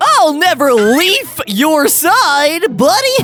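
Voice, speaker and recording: Clear background noise sits behind a put-on character voice. The pace is very slow. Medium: game stream.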